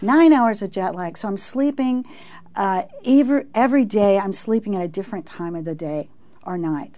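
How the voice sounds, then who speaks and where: A woman with an American accent has a dark, mellow tone, lively intonation and big swings in loudness. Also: moderate pace. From Texas. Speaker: research professor. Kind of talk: interview. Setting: studio. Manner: halting. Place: studio. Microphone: lapel.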